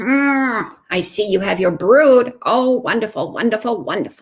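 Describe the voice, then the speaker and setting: Put-on character voice from a woman, pitched fairly high, moderate in pace. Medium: read story. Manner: knowing, self-assured.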